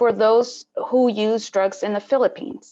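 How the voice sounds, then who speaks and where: A woman speaks with a Spanish accent at a fairly high pitch. She keeps a moderate pace with ordinary pitch variation. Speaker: panel moderator. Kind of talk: moderated webinar introduction. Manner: halting.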